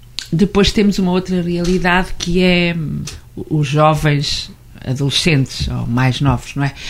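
Noticeable background noise sits behind a woman speaking at a fairly slow pace. Her pitch is fairly low, with ordinary variation. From central Portugal. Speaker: Portuguese teacher. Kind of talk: radio interview. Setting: studio.

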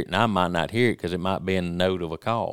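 The speaker has a Mississippi accent and talks at a fairly quick pace with fairly even intonation. The recording is very clean, with a silent background. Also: man. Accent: US South, Mississippi. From Mississippi, Jasper County. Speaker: hunting call maker. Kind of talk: casual chat.

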